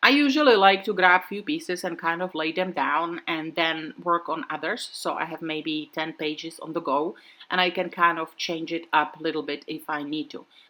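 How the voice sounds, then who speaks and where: With a non-native accent, a woman talks at a moderate pace with hardly any pauses, using a fairly low pitch, a bright, sharp tone and ordinary pitch variation. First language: not English. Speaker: craft video creator. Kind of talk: tutorial. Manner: casual, relaxed with fillers.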